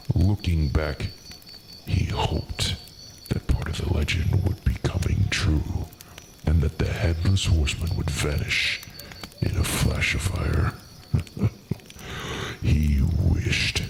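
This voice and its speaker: A man's very deep, low voice at a fairly slow pace, with ordinary pitch variation, long, frequent pauses and loud background noise. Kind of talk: spooky fireside storytelling. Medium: virtual streamer. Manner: courteous, theatrical.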